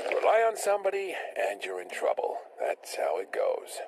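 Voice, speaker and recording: A man does a raspy, put-on character voice at a moderate pace over clear background noise. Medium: game stream. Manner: cynical, offhand.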